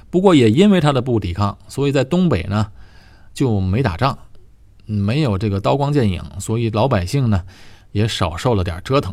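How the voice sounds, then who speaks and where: A man of medium pitch at a moderate pace, with very wide pitch swings. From Tianjin, northern China. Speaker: podcast host. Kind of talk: casual monologue.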